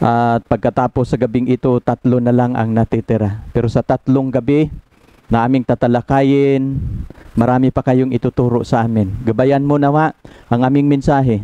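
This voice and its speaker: A man talks at a moderate pace in a flat monotone, his dark, mellow tone dry with no echo and his loudness very even. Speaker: preacher. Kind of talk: spoken prayer. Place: home room. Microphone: headset.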